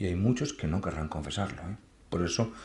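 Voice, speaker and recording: A man in a Madrid accent sounds somewhat breathy. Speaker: priest. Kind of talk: lecture with Q&A. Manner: conversational, self-correcting.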